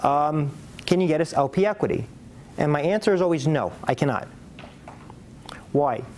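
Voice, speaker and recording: There is noticeable background noise here. Through it, a man speaks with a fairly high pitch. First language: not English. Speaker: real estate investment banker and lecturer. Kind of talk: presentation.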